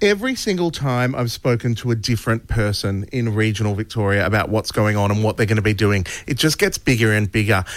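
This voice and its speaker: A plain, everyday voice with ordinary pitch variation. The pace is fairly quick. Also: man. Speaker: radio host. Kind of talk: radio show chat. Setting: radio studio.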